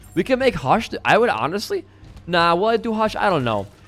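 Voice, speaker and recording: Over music in the background, a man speaks in an animated tone at a fairly quick pace with very wide pitch swings. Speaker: gaming streamer. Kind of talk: gameplay commentary. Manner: fast; casual, animated.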